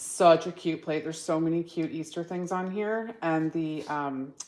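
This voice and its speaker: A woman speaks in a very deep, low voice. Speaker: nail stamping product host. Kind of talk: live stream product demo. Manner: loud.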